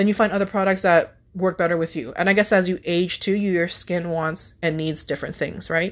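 A woman with an unremarkable speaking voice talks at a fairly quick pace, with a medium pitch and ordinary pitch variation. The background is quiet. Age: 30s. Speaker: podcast host. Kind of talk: casual chat.

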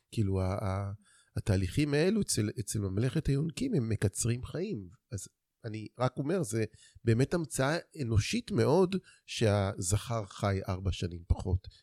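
The recording is very clean, dry and close, with a silent background and no echo. A man speaks at a moderate pace with a medium pitch, a dark, mellow tone and lively intonation. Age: 50s. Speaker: men's therapist. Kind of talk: interview.

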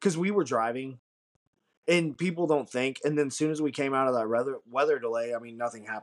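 An unremarkable speaking voice moves at a fairly quick pace. Its pitch variation is ordinary. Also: man, medium pitch for a man. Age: 30s. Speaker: podcast co-host. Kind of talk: casual chat.

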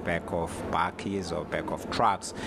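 A man speaks with a Zulu accent. There is noticeable background noise. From South Africa. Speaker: travel writer. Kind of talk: interview.

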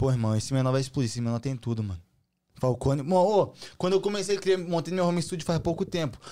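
Talking at a very fast pace, a man has a dark, mellow tone and a fairly high pitch. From Brazil, Santa Catarina. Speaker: trap artist. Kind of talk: casual chat. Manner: animated.

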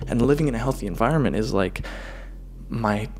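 This is a man talking at a medium pitch. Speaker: video blogger. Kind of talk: casual vlog monologue. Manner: fast.

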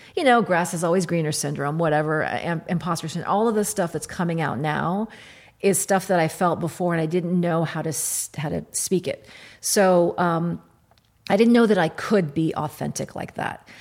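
In an American accent, a woman with an ordinary speaking voice and fairly low pitch speaks at a moderate pace with ordinary pitch variation on a very clean recording with a silent background. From Kentucky, US. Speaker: writer and editor. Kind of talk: interview.

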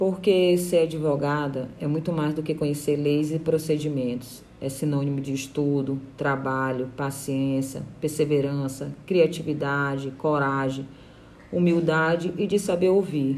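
Amid audible room echo, a woman with a very deep, low voice speaks at a fairly slow pace with fairly even intonation. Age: 30s. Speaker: lawyer. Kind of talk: interview.

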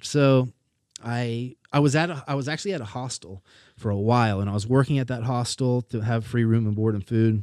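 An unremarkable speaking voice, a man's, moves at a fairly quick pace, dry and close with no echo on a very clean recording with a silent background. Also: medium pitch for a man, ordinary pitch variation. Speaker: podcast guest. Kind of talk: casual chat.

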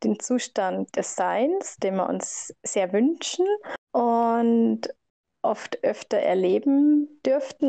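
A woman's high-pitched voice with a dark, mellow tone. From Germany, Bavaria (Laufen). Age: 20s. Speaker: participant. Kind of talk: group discussion. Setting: video call.

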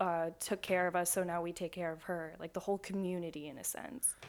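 In a very clean recording with a silent background, a woman with a normal speaking voice talks at a moderate pace, her fairly low pitch carried by fairly even intonation. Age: 20s. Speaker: student. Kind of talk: casual chat.

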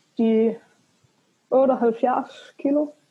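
A woman speaks in a dark, mellow tone. Her intonation is fairly even. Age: 20s. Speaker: coaching client and engineering student. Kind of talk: casual interview. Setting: remote call. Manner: hesitant, many filler sounds.

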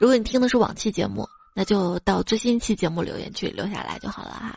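This woman speaks at a very fast pace. Her pitch is fairly high and varies in an ordinary way. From northwest China. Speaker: podcast host. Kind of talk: comedic monologue, jokes and listener comments. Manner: animated.

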